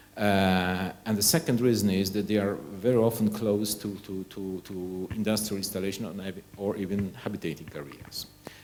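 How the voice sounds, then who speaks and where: Over noticeable background noise, a man with a Polish accent speaks at a moderate pace with hardly any pauses, a fairly low pitch and fairly even intonation. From Poland. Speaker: nuclear energy researcher. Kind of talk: conference presentation. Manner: halting, with frequent repetitions.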